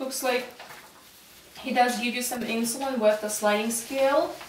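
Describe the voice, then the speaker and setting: Noticeable background noise surrounds a woman with a high pitch and fairly even intonation. She speaks at a fairly slow pace, with long, frequent pauses. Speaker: nursing student. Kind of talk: role-play patient teaching.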